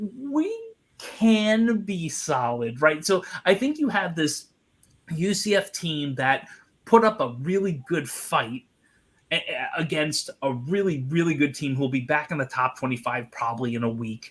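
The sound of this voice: A man with a Long Island accent talks at a fairly slow pace, his fairly high, fairly bright voice carrying lively intonation. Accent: Long Island, New York.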